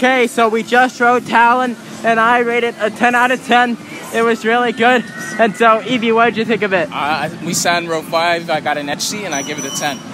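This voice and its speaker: Over noticeable background noise, a man speaks in a raised, projected voice at a fairly quick pace, with lively intonation and a dry sound with no echo. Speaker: theme park vlogger. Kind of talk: casual vlog chat. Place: street. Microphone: phone near.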